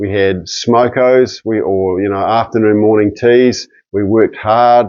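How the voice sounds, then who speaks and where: The speaker has a New Zealand accent and a fairly slow pace. Intonation stays monotone and flat. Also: man, medium pitch for a man. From New Zealand, near Nelson, South Island. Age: 60s. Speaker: registered nurse and nutrition educator. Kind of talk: personal introduction monologue. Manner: halting, with frequent fillers and repeats.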